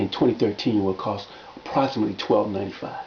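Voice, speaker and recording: A man talks at a fairly low pitch. Background noise is noticeable. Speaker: fitness and wellness coach. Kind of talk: video monologue promoting his workbook. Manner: fast; halting, many repetitions and fillers.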